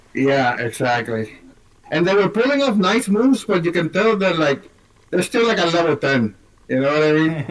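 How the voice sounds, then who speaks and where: Through noticeable background noise, a man with a high pitch speaks at a moderate pace with very wide pitch swings and very even loudness. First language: not English. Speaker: movie podcast co-host. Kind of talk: casual chat.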